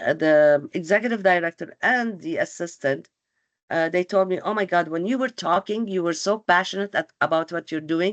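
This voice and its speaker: A woman with a non-native accent and a fairly low pitch talks at a moderate pace with ordinary pitch variation, in a dry, close sound with no echo and a quiet background. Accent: has a foreign. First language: not English. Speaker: employment counselor. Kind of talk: webinar presentation. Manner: hesitant, many fillers.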